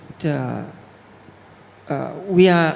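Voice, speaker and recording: Over noticeable background noise, a man with a Thai accent speaks in a fairly high pitch. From Thailand. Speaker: panel moderator and translator. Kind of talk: panel discussion.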